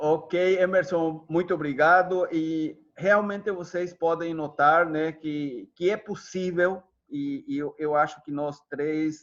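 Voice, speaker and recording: In a Spanish accent, a man with high pitch talks at a very slow pace with fairly even intonation and hardly any pauses. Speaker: psychologist. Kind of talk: online workshop closing remarks. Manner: halting, with many fillers.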